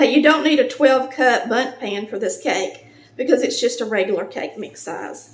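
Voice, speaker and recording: A woman with a Southern US accent, high-pitched, with big swings in loudness over noticeable background noise. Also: ordinary pitch variation, moderate pace. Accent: Southern US (Georgia). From Polk County, Georgia, USA. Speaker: home cook, cooking channel host. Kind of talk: cooking tutorial talk to camera.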